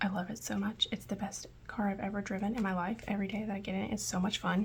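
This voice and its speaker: Soft-spoken, a woman talks at a very fast pace in a monotone, flat way. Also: medium pitch for a woman. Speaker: budgeting vlogger. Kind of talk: casual tutorial vlog. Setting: at home. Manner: soft-spoken, quiet.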